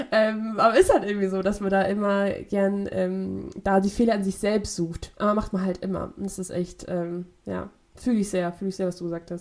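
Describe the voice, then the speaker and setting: Her voice flat and monotone, a woman speaks at a medium pitch. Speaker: podcast co-host, university student. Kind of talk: casual chat. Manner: fast; halting.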